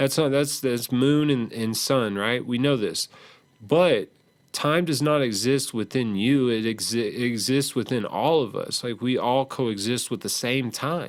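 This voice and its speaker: A man's medium-pitched voice with an American accent, at a fairly slow pace, on a very clean recording with a silent background. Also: ordinary pitch variation. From Texas. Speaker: podcast host. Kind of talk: casual monologue podcast. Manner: halting, with many fillers and repetitions.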